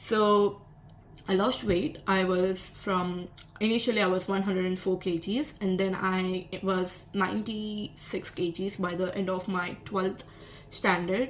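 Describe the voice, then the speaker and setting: A woman with a Telugu accent, medium-pitched, at a fairly slow pace with fairly even intonation, amid noticeable background noise. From South India. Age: 20s. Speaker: vlogger, psychology student. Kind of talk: casual vlog monologue.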